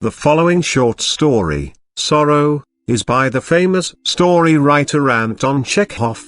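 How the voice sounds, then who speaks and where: Using a plain, everyday voice, a man talks at a fairly slow pace, fairly high in pitch, with lively intonation. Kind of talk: audiobook short story reading.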